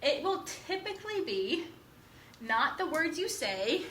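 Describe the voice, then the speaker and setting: A high-pitched woman's voice with very wide pitch swings, audible room echo and noticeable background noise. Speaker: college instructor. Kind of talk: lecture. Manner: fast.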